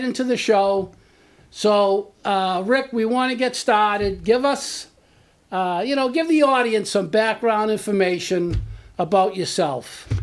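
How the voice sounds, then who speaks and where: A man's high-pitched voice at a fairly slow pace, with ordinary pitch variation, on a very clean recording with a silent background. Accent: Boston. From Medford, Massachusetts. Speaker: local show host. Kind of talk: interview.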